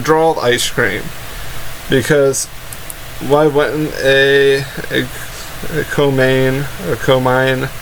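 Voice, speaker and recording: A man speaks very slowly over noticeable background noise. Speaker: anime reviewer and YouTuber. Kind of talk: casual episode review talk to camera.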